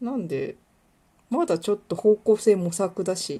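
Using lively intonation, a woman speaks at a medium pitch. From Kuwana, Mie, Japan. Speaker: podcaster and illustrator. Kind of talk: casual solo monologue. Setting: home recording, nighttime. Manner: fast, run-on speech.

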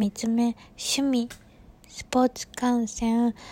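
A woman with a Kansai accent and a fairly high pitch speaks at a very slow pace in a relaxed, dark, mellow tone, in dry, close sound with no echo. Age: 20s. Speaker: podcaster. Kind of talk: casual monologue. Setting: sitting on bed at home.

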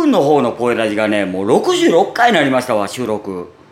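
A man's medium-pitched voice with a Kansai accent, at a moderate pace, over noticeable background noise. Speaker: podcaster. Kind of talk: casual solo talk. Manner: natural, unaffected voice.

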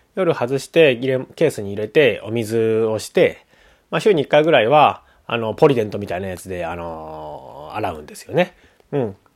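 In a very clean recording with a silent background, a man with a medium pitch and a relaxed tone talks at a moderate pace, with very wide pitch swings and big swings in loudness. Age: 30s. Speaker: musician and podcast host. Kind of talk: casual solo talk. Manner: relaxed, many fillers.

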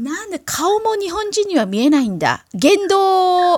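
This woman's pitch is extremely high. It moves in very wide swings. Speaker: podcast host. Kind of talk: casual chat.

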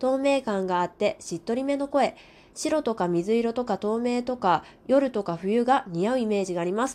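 A woman's fairly high voice with lively intonation, an unremarkable speaking voice on a very clean recording with a silent background. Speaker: radio talker. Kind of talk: casual solo monologue reading listener comments. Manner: warm, gentle, polite.

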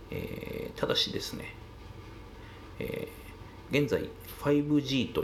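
A man's voice with audible room echo. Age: 40s. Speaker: solo podcaster. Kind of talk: monologue commentary. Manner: many filler pauses.

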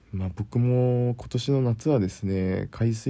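This man talks at a fairly slow pace in a relaxed, calm tone, his medium-pitched voice dark and mellow. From Kyushu, Japan. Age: 20s. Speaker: podcaster, office worker. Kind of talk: casual solo talk.

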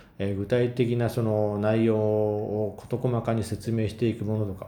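A dark, mellow tone with audible room echo. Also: man. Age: 30s. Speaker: solo podcaster. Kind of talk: casual monologue.

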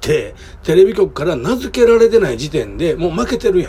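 Over noticeable background noise, a man speaks with a Kansai accent. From Kobe, Japan. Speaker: podcaster. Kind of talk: casual solo talk. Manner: hesitant, many fillers.

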